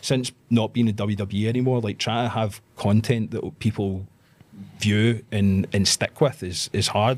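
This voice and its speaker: A man speaks in a Scottish accent. His pitch is fairly low and his intonation fairly even. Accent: Scottish, trained to speak clearly. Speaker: pro wrestler. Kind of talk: casual chat.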